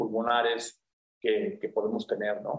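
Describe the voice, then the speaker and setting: A man is speaking. His pace is moderate. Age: 50s. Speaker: physician, pulmonologist and intensivist. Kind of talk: radio interview. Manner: hesitant, many fillers.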